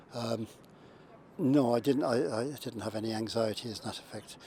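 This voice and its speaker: A man with a Limerick accent talks at a moderate pace in a medium pitch. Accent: Irish (Limerick). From Ireland, County Limerick. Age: 70s. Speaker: heart patient. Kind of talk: testimony. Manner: halting, many fillers and repetitions.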